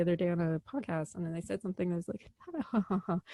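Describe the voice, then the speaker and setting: Speaking with an American accent, a woman talks at a very fast pace in an animated tone. The sound is dry and close, with no echo. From US Midwest, Chicago. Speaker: actor and film director. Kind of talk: interview.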